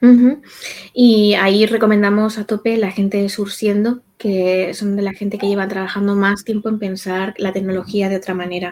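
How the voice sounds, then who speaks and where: The woman's voice sits at a medium pitch. She keeps a moderate pace with monotone, flat intonation. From Spain, Castilla-La Mancha (rural village). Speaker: psychologist. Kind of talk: interview.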